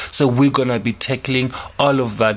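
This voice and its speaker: The man's voice sits at a medium pitch. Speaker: online radio host. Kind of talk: casual solo radio talk. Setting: studio. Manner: calm.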